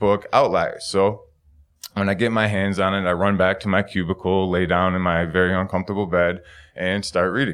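Over a quiet background, a man talks at a fairly quick pace in an unremarkable speaking voice, fairly low in pitch. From Buffalo, New York. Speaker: physics PhD student, storyteller. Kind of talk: live storytelling. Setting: stage with audience.

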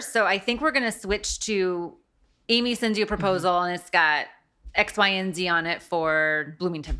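A woman speaks in a Midwestern American accent at medium pitch. Her tone is bright and sharp, and the recording is very clean with a silent background. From US Midwest. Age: 40s. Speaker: interior design firm owner. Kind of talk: casual interview. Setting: studio.

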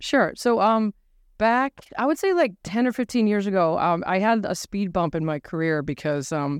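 A woman with a New England accent speaks at a moderate pace. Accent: New England American. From New Hampshire, US. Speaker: lecturer and social enterprise activist. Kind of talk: live panel interview. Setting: stage with audience.

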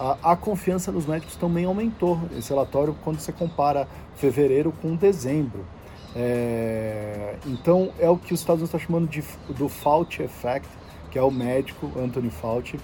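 This man has an unremarkable speaking voice at a fairly high pitch. He talks at a moderate pace with lively intonation. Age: 40s. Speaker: podcast host, health industry commentator. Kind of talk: solo news briefing. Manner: casual, conversational.

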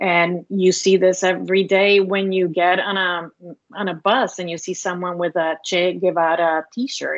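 This woman speaks at a medium pitch in a flat, monotone delivery. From Puerto Rico, Cuban family. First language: Spanish. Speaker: human rights advocate. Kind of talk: interview.

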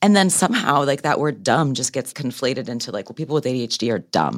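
A woman's very deep, low voice with vocal fry and very wide pitch swings at a fairly quick pace, on a very clean recording with a silent background. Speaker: podcast host. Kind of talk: interview. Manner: animated.

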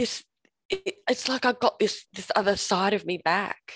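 The speaker is a woman with an Australian accent. Her recording sounds dry and close, free of any echo. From Australia, Perth. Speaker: recovered drinker and sobriety coach. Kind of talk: testimony. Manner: halting, many fillers.

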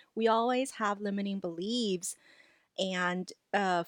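A woman at medium pitch, in a dry, close sound with no echo against a quiet background. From Los Angeles, raised from childhood (non-native English). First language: not English. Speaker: life coach. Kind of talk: interview.

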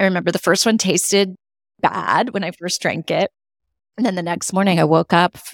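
A woman with an American accent speaks fairly quickly in an unremarkable speaking voice at a medium pitch. The recording is very clean, with a silent background and a dry, close sound with no echo. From California. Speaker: alcohol and life transformation coach. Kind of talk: casual interview chat.

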